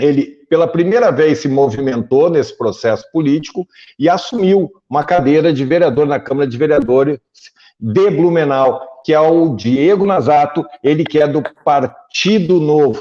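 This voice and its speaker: Speaking in a strong gaúcho accent, a man with a fairly high pitch talks at a moderate pace with ordinary pitch variation. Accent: thick gaúcho. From southern Brazil, Porto Alegre. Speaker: journalist, interview show host. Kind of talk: political interview show.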